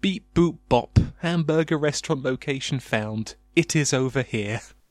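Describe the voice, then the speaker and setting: A man's robotic, put-on character voice, fairly high in pitch, at a moderate pace. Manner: beeping, flat computer-like.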